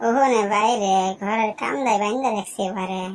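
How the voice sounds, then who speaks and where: A female-sounding cartoonish character voice, fairly high in pitch for a woman, moves at a fairly slow pace. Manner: literal, repetitive.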